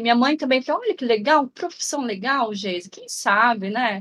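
Her voice high in pitch, a woman speaks with very wide pitch swings. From interior of São Paulo state, Brazil. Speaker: health researcher on rare diseases. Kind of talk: casual interview.

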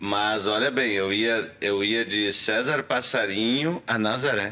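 A man speaks at a very slow pace with a fairly low pitch. His tone is bright and sharp. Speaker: actor. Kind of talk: casual chat.

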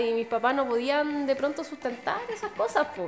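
A woman's voice with ordinary pitch variation over noticeable background noise. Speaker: podcast co-host. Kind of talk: casual chat. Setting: chapel.

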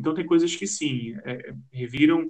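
A man with a plain, everyday voice, ordinary pitch variation and a fairly slow pace. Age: 30s. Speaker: journalist. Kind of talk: interview.

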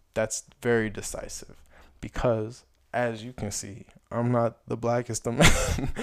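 With an American accent, a man of medium pitch speaks at a fairly slow pace in a monotone, flat intonation over noticeable background noise. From Chicago area, US. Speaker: podcast host. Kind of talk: solo commentary with read-aloud essay. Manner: casual with filler words.

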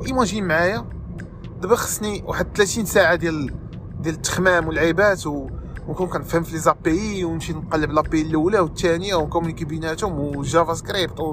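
At a fairly quick pace, a man speaks with a high pitch. Noticeable background noise runs underneath. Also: ordinary pitch variation. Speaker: podcast host, software developer. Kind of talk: casual monologue.

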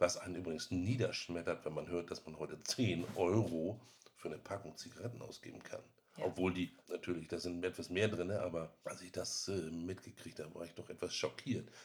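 At a moderate pace, a man with a very deep, low pitch and a somewhat breathy voice shows ordinary pitch variation and big swings in loudness. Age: 50s. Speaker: IT specialist, former smoker. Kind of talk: interview.

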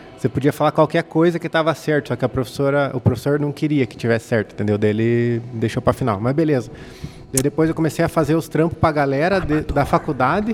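Amid noticeable background noise, a man talks very fast at a fairly high pitch with ordinary pitch variation. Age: 30s. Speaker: photographer and videographer. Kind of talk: casual chat.

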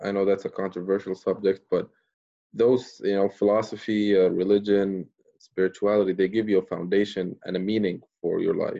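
In an Arabic accent, a man speaks with a fairly low pitch, a dark, mellow tone and flat, monotone intonation. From Libya, raised in Jordan. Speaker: podcaster. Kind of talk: casual chat.

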